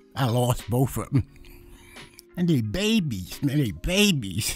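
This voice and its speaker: With a New York accent, a man speaks at a fairly slow pace with long, frequent pauses while music plays in the background. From New York City. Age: 70s. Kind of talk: interview answer.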